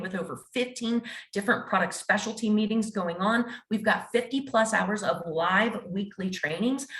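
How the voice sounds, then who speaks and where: The speaker goes at a fairly quick pace with ordinary pitch variation, and there is noticeable background noise. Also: woman. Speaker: real estate executive. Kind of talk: sales pitch. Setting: video call. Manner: fast; animated.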